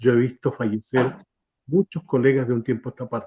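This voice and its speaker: This is a man speaking. He has a Chilean accent. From Chile, Concepción area. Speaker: radio announcer. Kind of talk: interview conversation. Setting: online live stream.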